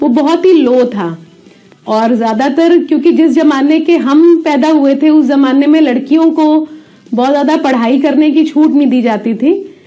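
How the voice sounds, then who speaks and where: Music plays behind a woman with a high pitch. Her pitch varies in an ordinary way amid audible room echo. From Punjab, India (Abohar). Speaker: academic, teacher. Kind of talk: testimony.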